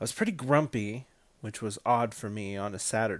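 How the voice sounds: This is a natural reading voice. It carries the whole clip.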